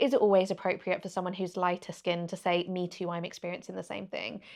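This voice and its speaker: A woman with a Birmingham accent speaks over a quiet background. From England, Birmingham. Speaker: journalist and interviewer. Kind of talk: podcast interview.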